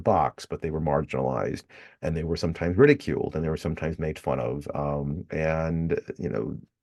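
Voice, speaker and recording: A man speaks at a fairly quick pace with a very deep, low pitch, a dark, mellow tone and vocal fry. His pitch varies in an ordinary way against a quiet background. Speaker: history professor. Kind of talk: recorded lecture. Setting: recorded video lecture with slides. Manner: hesitant, many fillers.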